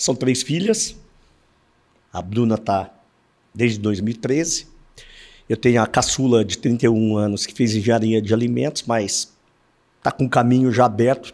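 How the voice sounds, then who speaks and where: At a medium pitch and with ordinary pitch variation, a man speaks with long, frequent pauses. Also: moderate pace. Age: 60s. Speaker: insurance broker, company founder. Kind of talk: podcast interview.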